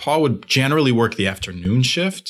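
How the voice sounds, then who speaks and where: A man talks at a fairly quick pace in an unremarkable speaking voice with ordinary pitch variation, captured in a very clean recording with a silent background. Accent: American. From Long Island, New York. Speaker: coffee shop co-founder. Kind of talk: interview. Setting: studio.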